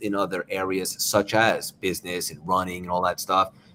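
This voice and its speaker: A man talks with an American accent at a moderate pace. His pitch sits fairly low. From New York. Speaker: motivational speaker and author. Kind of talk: interview. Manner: animated.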